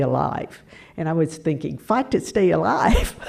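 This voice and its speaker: A woman with an American accent speaks at a fairly slow pace. Her very deep, low pitch carries vocal fry. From US South, Tennessee. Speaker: hospice volunteer and near-death experiencer. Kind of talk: talk to audience.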